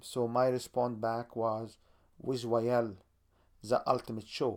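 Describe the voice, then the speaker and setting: This man speaks at a fairly slow pace with an Arabic accent. The recording is very clean, with a silent background. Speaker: podcast host. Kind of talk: podcast promo monologue.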